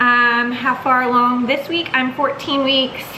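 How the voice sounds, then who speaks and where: A woman speaks at a moderate pace in a high voice. Audible room echo and noticeable background noise surround her. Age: 30s. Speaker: vlogger. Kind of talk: casual chat.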